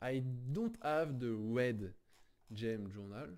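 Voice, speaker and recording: A man talks at a very slow pace in a French accent. His tone is dark and mellow. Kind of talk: casual game tutorial talk.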